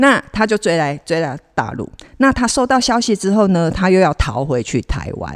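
Her medium-pitched voice has vocal fry and very wide pitch swings as the woman speaks at a moderate pace in a dry, close sound with no echo. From Kaohsiung, southern Taiwan. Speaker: actress. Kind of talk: casual interview chat. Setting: on location away from studio.

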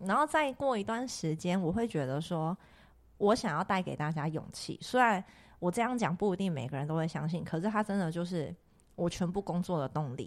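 Fairly low pitch from a woman, in a very clean recording with a silent background. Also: lively intonation. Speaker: crystal shop owner and podcast host. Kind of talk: casual chat. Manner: loud; talkative, animated.

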